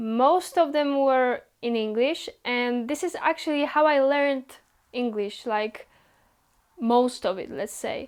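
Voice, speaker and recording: A woman's high pitch, with ordinary pitch variation, a Polish accent and a very slow pace. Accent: Polish accent, non-native English. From Poland. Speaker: YouTuber. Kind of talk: casual vlog Q&A. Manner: casual, with some hesitations.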